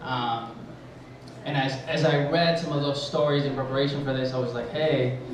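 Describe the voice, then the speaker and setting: A man with a fairly high voice speaks monotonously at a moderate pace. The room echoes audibly, and background noise is noticeable. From Mexico, then Southern California from about age ten. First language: Spanish. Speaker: high school teacher. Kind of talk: personal storytelling at a live event. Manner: halting, many fillers.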